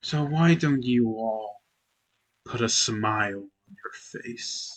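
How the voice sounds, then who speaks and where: A man puts on a character voice at a medium pitch. He speaks at a very slow pace. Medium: actual play. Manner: slow, eerie.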